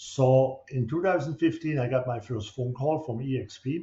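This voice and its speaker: Speaking at a moderate pace with a German accent, a man has a somewhat breathy voice of medium pitch and ordinary pitch variation. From Germany. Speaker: real estate broker. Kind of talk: promotional video monologue. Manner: halting.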